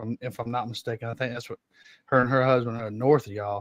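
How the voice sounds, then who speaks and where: Here a man speaks in a Georgia accent at medium pitch. The recording is very clean, with a silent background. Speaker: podcast host. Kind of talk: casual chat.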